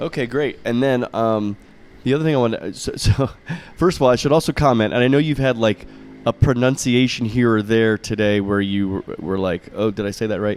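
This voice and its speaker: In a plain, everyday voice, a man with an American accent talks at a fairly quick pace, with medium pitch and ordinary pitch variation. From US, Florida. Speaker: podcast host, visiting professor. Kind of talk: interview. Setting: outdoors on a campus terrace.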